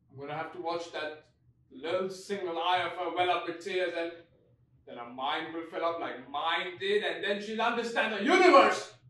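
There is audible room echo as a man speaks at a moderate pace with ordinary pitch variation and big swings in loudness. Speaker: actor performing a monologue. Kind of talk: dramatic theatrical monologue. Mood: anguished and angry. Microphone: phone near.

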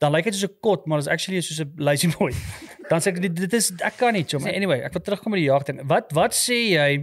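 High male voice with ordinary pitch variation. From South Africa, farm near Potchefstroom; South Africa. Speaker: podcast host. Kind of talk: casual chat. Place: studio. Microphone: studio mic.

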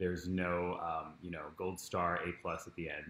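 A man's very deep, low voice at a moderate pace with audible room echo. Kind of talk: guided meditation introduction. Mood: warm, calm, friendly. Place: home room. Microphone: camera far.

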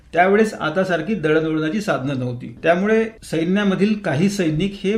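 Audible room echo around a man's high-pitched voice with ordinary pitch variation. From Vidarbha, Maharashtra (Amravati district). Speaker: retired tax official and marathon runner. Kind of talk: radio interview. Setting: radio studio.

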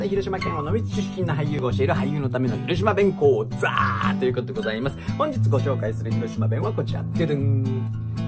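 Loud music fills the background. Over it, a man speaks at a fairly quick pace. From Hiroshima, Onomichi. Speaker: actor. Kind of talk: casual talk to camera. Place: studio. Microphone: phone near.

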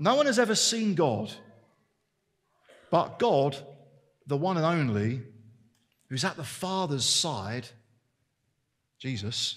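Very slow and somewhat breathy, the speech has very wide pitch swings and long, frequent pauses against a quiet background. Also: man, fairly high pitch for a man. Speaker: preacher. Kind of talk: sermon. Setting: church service. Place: church. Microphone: headset.

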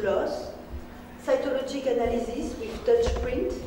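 Over noticeable background noise and audible room echo, a woman speaks at a fairly slow pace with fairly even intonation. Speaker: conference presenter. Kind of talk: lecture. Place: hall. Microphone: camera far.

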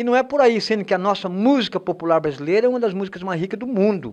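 Against a quiet background, a man moves at a fairly quick pace with very wide pitch swings. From Brazil. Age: 60s. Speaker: singer-songwriter. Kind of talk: interview. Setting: studio. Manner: halting. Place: studio. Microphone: handheld.

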